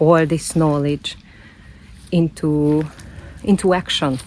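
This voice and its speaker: A woman with a very deep, low pitch and a non-native accent. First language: not English. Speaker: self-development vlogger. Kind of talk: personal vlog monologue. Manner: halting, repeats words.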